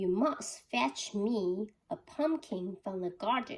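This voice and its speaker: In a put-on character voice, a woman speaks at a very slow pace, her medium pitch swinging very widely. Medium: read story.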